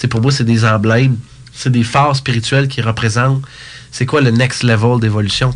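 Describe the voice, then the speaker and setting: Over noticeable background noise, a man with a medium-pitched voice speaks fairly quickly with fairly even intonation. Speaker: speaker, coach and author. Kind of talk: interview. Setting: studio.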